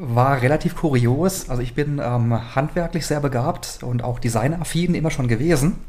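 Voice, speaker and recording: A man with a fairly high pitch talks at a moderate pace, hardly pausing. His pitch varies in an ordinary way, and there is noticeable background noise. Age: 30s. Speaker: fashion brand owner. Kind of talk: casual interview. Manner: hesitant with frequent fillers.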